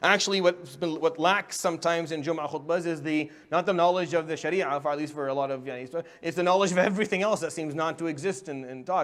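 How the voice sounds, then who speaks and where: Speaking with an Arabic accent, the voice races along at a very fast pace with hardly any pauses and fairly even intonation. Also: man, high pitch for a man. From Middle East. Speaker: imam and public speaking teacher. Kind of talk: workshop lecture. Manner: stuttering.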